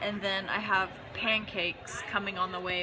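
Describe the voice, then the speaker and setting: A woman speaks at a medium pitch and moderate pace with fairly even intonation. Noticeable background noise and audible room echo fill the recording. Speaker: goth vlogger. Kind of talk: casual vlog chat. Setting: outdoors then restaurant.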